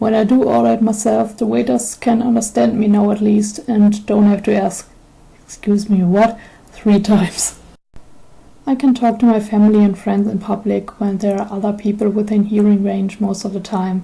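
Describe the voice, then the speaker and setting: A woman with a somewhat breathy, dark, mellow tone, monotone, flat intonation, and a moderate pace. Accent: German. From Germany. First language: German. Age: 20s. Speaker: YouTuber with selective mutism. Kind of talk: personal testimony.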